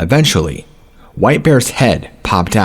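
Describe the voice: This clip is plain reading aloud.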